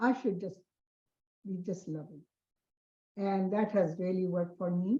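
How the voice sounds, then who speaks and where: A somewhat breathy woman's voice at a medium pitch with ordinary pitch variation. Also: moderate pace. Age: 80s+. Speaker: meditation group participant. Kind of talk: sharing in online group.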